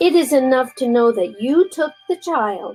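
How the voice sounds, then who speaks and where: A woman speaks with very wide swings in pitch. Music plays in the background. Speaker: grandmother reading aloud to grandchildren. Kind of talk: storybook reading.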